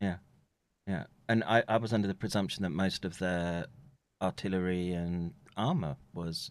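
Against a quiet background, a man with a British accent speaks in a very deep, low voice with ordinary pitch variation and long, frequent pauses. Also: moderate pace. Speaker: streamer. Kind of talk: casual chat. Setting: live stream.

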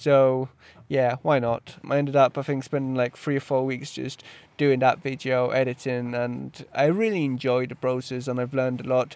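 At a moderate pace, a man talks at medium pitch with monotone, flat intonation. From Poland, then London from age 10. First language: Polish. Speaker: freelance videographer and podcast host. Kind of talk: solo podcast monologue. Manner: hesitant, many fillers.

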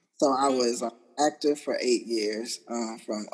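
An unremarkable speaking voice from a man, medium in pitch, fairly even in intonation and fairly slow in pace. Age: 30s. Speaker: military veteran. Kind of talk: casual chat.

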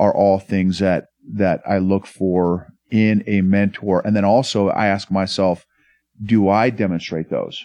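A man with an American accent, fairly low pitch and a dark, mellow tone, at a fairly slow pace and with very even loudness. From Oklahoma, US. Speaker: entrepreneur and leadership consultant, Army veteran. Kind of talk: casual interview chat. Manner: animated.

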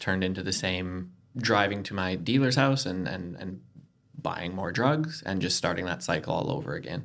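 A man with a Canadian accent talks fairly quickly in a fairly low voice with vocal fry. His pitch swings very widely. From Canada. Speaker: recovering addict sharing his story. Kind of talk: personal testimony in casual interview.

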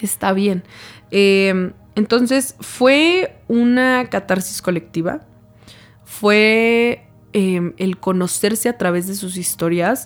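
Delivery comes at a very slow pace. Pitch variation is ordinary. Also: woman, medium pitch for a woman. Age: 20s. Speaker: lawyer and founder of a women's support association. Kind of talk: interview.

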